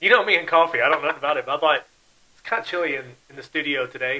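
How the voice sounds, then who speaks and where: Talking at a very fast pace, a man shows ordinary pitch variation, big swings in loudness, and long, frequent pauses. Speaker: podcast host. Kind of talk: casual chat. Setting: studio. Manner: trails off at sentence ends; falling intonation, down talker.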